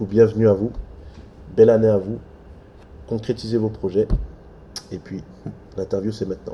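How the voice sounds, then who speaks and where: A fairly low, somewhat breathy male voice with a dark, mellow tone, monotone, flat intonation, big swings in loudness and long, frequent pauses. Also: moderate pace. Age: younger than guest. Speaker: interviewer. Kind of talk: interview; introduction to viewers.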